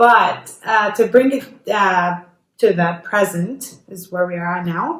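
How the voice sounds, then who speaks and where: A woman speaks at a very slow pace with a slight non-native accent. Her pitch is medium. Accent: slight foreign. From Jordan. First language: Arabic. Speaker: YouTuber. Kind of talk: casual chat. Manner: halting, many repetitions.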